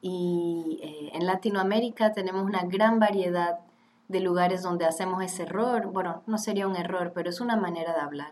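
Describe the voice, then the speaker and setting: With noticeable background noise behind her, a woman talks at a moderate pace and medium pitch, her intonation fairly even. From Switzerland (Geneva, French-speaking), then Panama from 15. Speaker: graduate student. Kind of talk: casual chat.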